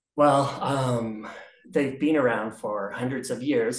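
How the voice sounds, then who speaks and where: A man talks at a fairly slow pace against a quiet background with audible room echo. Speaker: interviewee. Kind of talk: interview answer. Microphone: video call.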